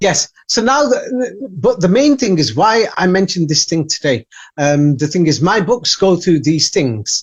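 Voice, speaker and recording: In an English accent, the speaker goes at a fairly slow pace with hardly any pauses. The loudness is very even while the pitch swings very widely. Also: man, high pitch for a man. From England. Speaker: author and researcher. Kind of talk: interview. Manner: halting.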